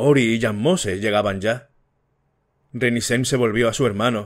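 A man speaks at a moderate pace. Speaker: audiobook narrator. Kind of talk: audiobook reading.

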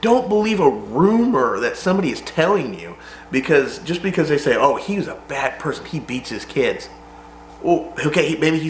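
Amid audible room echo and light background noise, a man with a high voice speaks at a moderate pace. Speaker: vlogger. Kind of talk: casual vlog chat. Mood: serious, emotional personal story. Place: garage.

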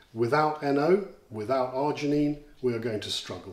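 The room echo is audible. The pace is moderate. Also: man. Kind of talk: interview answer, explanatory. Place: home room.

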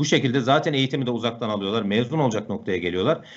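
A man is talking. His voice swings through a very wide range of pitch. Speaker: software instructor. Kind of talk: live Q&A answers. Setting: video call. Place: home room. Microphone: earbuds.

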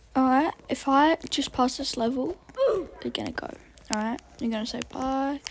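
Over noticeable background noise, a woman talks fairly slowly in a high voice with ordinary pitch variation. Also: long, frequent pauses. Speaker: gaming YouTuber. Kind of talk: gameplay commentary. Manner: animated.

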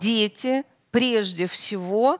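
The background is quiet as a woman speaks at a very slow pace. Her pitch varies in an ordinary way. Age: 50s. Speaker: guest. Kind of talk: studio interview. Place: studio. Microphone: headset.

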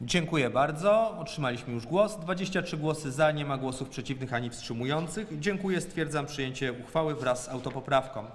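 Fairly high male pitch, fairly quick delivery, and ordinary pitch variation. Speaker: city council chairman. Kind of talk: formal council session chairing. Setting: council session with Zoom and YouTube stream. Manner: formal. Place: hall. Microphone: echo, voice wavering on the stream.

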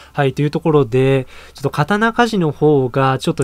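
With ordinary pitch variation, a man speaks at a fairly quick pace in a dry sound with no echo. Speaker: anime news YouTuber. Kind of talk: casual video commentary. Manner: fast; animated. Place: home room.

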